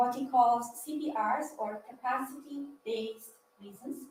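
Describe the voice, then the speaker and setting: Her voice somewhat breathy, a woman talks at a fairly slow pace with ordinary pitch variation, and audible room echo surrounds her. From Italy. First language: Italian. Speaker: PhD student speaker. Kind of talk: lecture. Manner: halting.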